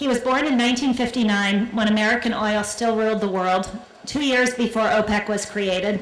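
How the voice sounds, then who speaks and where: A woman with a fairly high pitch talks at a fairly quick pace with fairly even intonation. Audible room echo and noticeable background noise surround her. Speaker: keynote speaker, business journalist. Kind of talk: keynote speech. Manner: fast; halting, repeats words.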